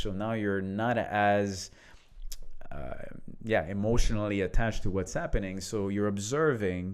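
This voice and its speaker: Someone with a French accent speaks at a moderate pace with ordinary pitch variation, and room echo is audible. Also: man. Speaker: leadership coach, podcast co-host. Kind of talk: casual conversational podcast.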